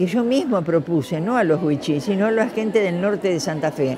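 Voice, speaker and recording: Crowd noise and audible room echo surround a woman speaking at a medium pitch with lively intonation. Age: 80s+. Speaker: retired teacher and educator. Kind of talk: interview testimony. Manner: hesitant, many fillers.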